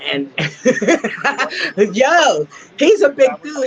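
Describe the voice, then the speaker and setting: The voice carries an energetic, animated tone over noticeable background noise. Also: woman. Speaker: host of an MMA show. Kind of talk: casual interview, host talk.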